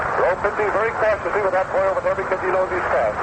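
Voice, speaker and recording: A man with a high voice speaks in an excited tone over noticeable background noise. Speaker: baseball radio announcer. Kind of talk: live baseball play-by-play commentary. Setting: vintage radio broadcast recording, crowd ambience. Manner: fast, excited, fluent.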